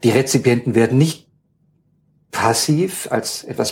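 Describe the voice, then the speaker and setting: A man with a medium pitch and a somewhat breathy voice talks at a moderate pace with ordinary pitch variation. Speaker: university ethnologist. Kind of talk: interview. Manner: hesitant, many filler sounds.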